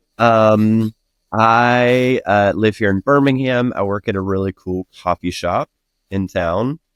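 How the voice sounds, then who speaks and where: A man talks at a very slow pace with ordinary pitch variation. The sound is dry and close, with no echo. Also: fairly low pitch for a man. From Alabama, US South. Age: 30s. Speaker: podcast guest, bartender and life coach. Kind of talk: casual interview chat. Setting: remote recording platform.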